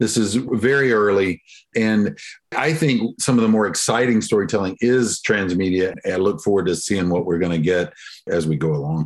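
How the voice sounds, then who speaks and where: A man with a Southern US accent keeps his loudness very even while his intonation stays lively. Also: fairly low pitch for a man, moderate pace. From US South. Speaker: professor and awards executive director. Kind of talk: interview.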